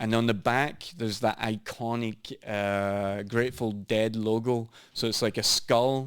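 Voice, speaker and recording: In a very clean recording with a silent background, a man with a Scottish accent speaks at a medium pitch with fairly even intonation and hardly any pauses. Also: fairly slow pace. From Scotland. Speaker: business owner and former bartender. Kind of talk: casual chat.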